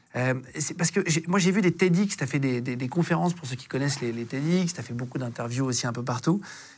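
A man speaks with ordinary pitch variation at a fairly high pitch, in an ordinary speaking voice. The recording is very clean, with a silent background. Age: 30s. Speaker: podcast host. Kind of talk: interview.

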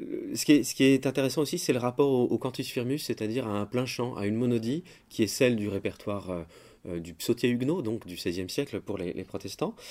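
On a very clean recording with a silent background, a man with a dark, mellow tone talks at a fairly quick pace, medium pitch and lively intonation. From France, Paris. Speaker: composer, organist and music teacher. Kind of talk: interview. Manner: halting, many hesitations and repeated words.

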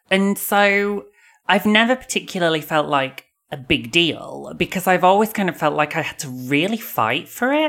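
A woman's lively intonation at a moderate pace, with music in the background. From northern England, Bradford. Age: 40s. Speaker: novelist. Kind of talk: casual chat.

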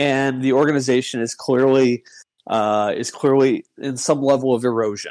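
Speaking at a moderate pace and medium pitch, a man has a plain, everyday voice. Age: 40s. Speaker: former sports newspaper columnist. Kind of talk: casual chat. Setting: online voice chat.

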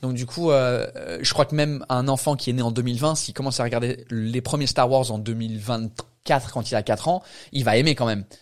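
A man speaks at a moderate pace and medium pitch with fairly even intonation. The recording is very clean, with a silent background. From England. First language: English (speaking French). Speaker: stand-up comedian. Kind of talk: casual chat.

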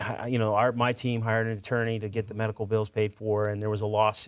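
On a very clean recording with a silent background, a man with an ordinary speaking voice talks at a fairly quick pace. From Edmonton, Alberta, Canada. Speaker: motivational speaker and former hockey player.

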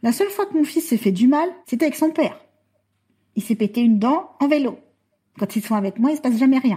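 Speaking at a fairly quick pace but with long, frequent pauses, a woman has a high pitch and a dark, mellow tone. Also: lively intonation. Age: 40s. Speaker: mother using a wheelchair, adoptive parent. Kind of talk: interview testimony.

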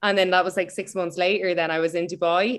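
A woman with an Irish accent against a quiet background. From Ireland. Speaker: personal trainer. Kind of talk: interview conversation.

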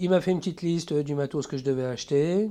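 This man's tone is dark and mellow, and his pitch varies in an ordinary way. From France, Troyes. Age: 50s. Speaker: tattoo artist. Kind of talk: casual interview. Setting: home studio. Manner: halting.

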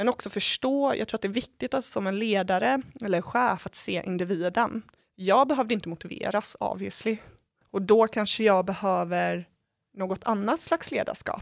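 In an ordinary speaking voice, a woman talks at a moderate pace and medium pitch with ordinary pitch variation, recorded dry and close with no echo on a very clean, silent background. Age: 20s. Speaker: stress and workplace health educator. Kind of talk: interview.

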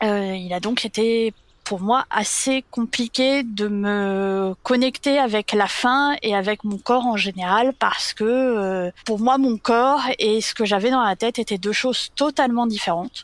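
The pace is very slow, with hardly any pauses and ordinary pitch variation. The recording is very clean with a silent background and a dry, close sound with no echo. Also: woman, fairly high pitch for a woman. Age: 30s. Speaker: interviewee sharing personal story. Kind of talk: testimony. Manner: hesitant, many fillers.

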